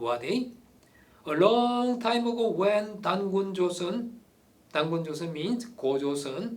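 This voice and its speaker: Audible room echo surrounds a man who speaks with a Korean accent, a high pitch and lively intonation. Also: fairly slow pace. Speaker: amateur history commentator. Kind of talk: opinionated monologue. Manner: animated.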